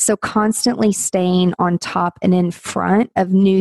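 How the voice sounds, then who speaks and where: Speaking very slowly, a woman has a medium-pitched, dark and mellow voice, recorded with a dry, close sound and no echo. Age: 40s. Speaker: business coach. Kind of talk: interview.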